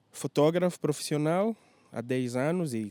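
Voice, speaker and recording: A man's dark, mellow tone at a fairly slow pace, in a dry, close sound with no echo. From Angola, Lubango and Luanda. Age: 30s. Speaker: tour guide and photographer. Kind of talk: interview. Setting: hotel.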